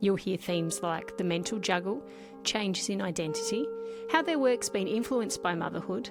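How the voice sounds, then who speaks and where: Someone with an Australian accent speaks at a moderate pace. Music plays in the background. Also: woman. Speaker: podcast host, singer-songwriter. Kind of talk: podcast intro.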